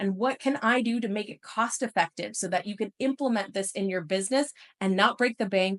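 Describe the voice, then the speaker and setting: Speaking at a moderate pace in an animated tone, a woman with a medium pitch uses lively intonation, and the sound is dry and close with no echo against a quiet background. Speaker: webinar host and sales consultant. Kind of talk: webinar presentation. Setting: online webinar.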